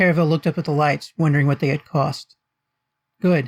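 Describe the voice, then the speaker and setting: A man speaks at a fairly high pitch with ordinary pitch variation, sounding somewhat breathy. The sound is dry and close, with no echo. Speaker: author reading own fiction. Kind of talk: audiobook narration.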